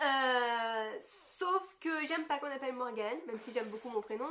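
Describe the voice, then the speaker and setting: Her pitch is high. The woman's intonation is lively. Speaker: YouTuber. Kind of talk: casual chat.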